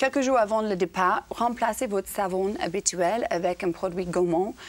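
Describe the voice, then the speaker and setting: Noticeable background noise sits behind a woman's voice. Her pitch is medium, with ordinary variation. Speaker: TV presenter on parenting show. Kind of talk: TV studio segment, lifestyle tips. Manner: slow.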